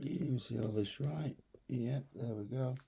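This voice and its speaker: At a very slow pace, a man speaks with a medium pitch and ordinary pitch variation. His tone is dark and mellow, and somewhat breathy. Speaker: hobby youtuber. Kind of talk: unboxing video. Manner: halting.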